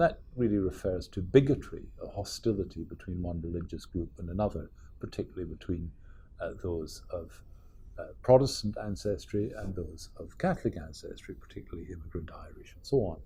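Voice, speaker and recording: Lively intonation and big swings in loudness mark this somewhat breathy voice, which has a dark, mellow tone and a fairly quick pace. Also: man, fairly low pitch for a man. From Scotland. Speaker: professor. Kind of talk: lecture.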